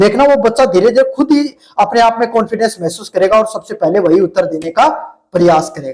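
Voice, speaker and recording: A man's high voice at a moderate pace with ordinary pitch variation. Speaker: teacher. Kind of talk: lecture. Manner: casual, conversational teaching.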